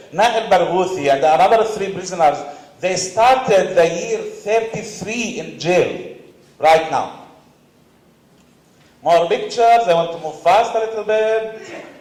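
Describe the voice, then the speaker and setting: Fairly slow speech in a Palestinian accent with long, frequent pauses, audible room echo and noticeable background noise. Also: man, high pitch for a man, ordinary pitch variation. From Palestine, West Bank refugee camp. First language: Arabic. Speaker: panelist, activist. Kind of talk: conference panel talk.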